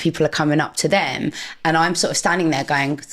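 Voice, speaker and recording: A woman with a London accent speaks in a very deep, low voice. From North London, England. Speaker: anonymous social media personality, former social worker. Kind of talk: interview conversation.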